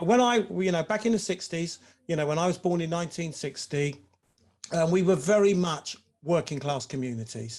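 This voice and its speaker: A man's fairly high voice with an English accent and ordinary pitch variation. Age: 60s. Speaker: former professional footballer. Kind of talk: webinar discussion.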